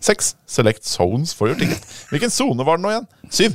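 Talking at a very fast pace, a man with a fairly high pitch and vocal fry swings his pitch very widely, in a dry, close sound with no echo. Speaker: tech podcast host. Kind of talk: casual chat.

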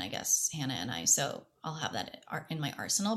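A woman speaks with a very deep, low pitch and vocal fry. Her tone is bright and sharp, at a moderate pace. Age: 30s. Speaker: actress. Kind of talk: casual chat. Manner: animated.

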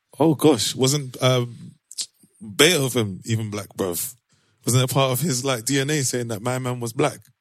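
Speaking fairly slowly in a London accent, a man has a medium pitch and ordinary pitch variation. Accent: London urban. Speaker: podcast host. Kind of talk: casual banter between friends. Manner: animated, jokey.

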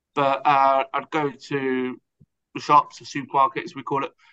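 A man speaks with an English accent at a fairly high pitch. He talks at a fairly slow pace. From southern England. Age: 30s. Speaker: pub co-manager in recovery. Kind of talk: testimony. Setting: remote call.

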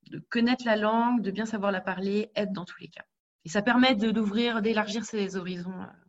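A somewhat breathy woman's voice at a moderate pace, with fairly even intonation and big swings in loudness. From Paris region, France. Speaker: HR specialist. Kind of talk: interview.

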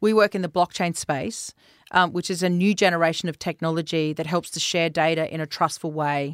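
A woman with an Australian accent talks at a fairly quick pace and fairly low pitch with fairly even intonation, on a very clean recording with a silent background, dry and close with no echo. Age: 50s. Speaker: tech company founder and CEO. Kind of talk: interview.

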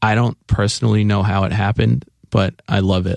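A plain, everyday voice with ordinary pitch variation, dry and close with no echo. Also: man. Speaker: musician and bandmate. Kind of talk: casual interview chat.

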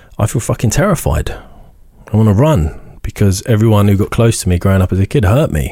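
In an English accent, a man talks at a very fast pace with a fairly low pitch, a dark, mellow, somewhat breathy tone, lively intonation and very even loudness. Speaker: author and motivational speaker. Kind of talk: casual interview, personal storytelling.

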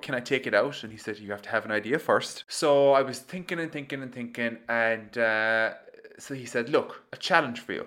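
A man with a Kerry accent talks at a fairly quick pace in a bright, sharp tone. His loudness swings a lot. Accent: Kerry Irish. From Ireland, County Kerry. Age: 20s. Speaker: podcast host and entrepreneur. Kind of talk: solo storytelling monologue. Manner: animated.

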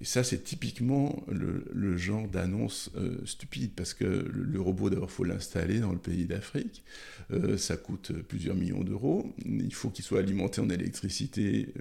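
Vocal fry runs through a man's fairly low voice, which has a dark, mellow tone. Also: lively intonation, fairly slow pace. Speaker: gynecologist obstetrician. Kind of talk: interview. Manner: halting, many repetitions.

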